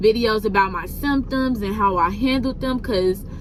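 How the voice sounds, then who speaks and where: A woman's fairly high voice with lively intonation at a moderate pace, amid noticeable background noise and audible room echo. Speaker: vlogger. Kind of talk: casual vlog. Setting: in a car.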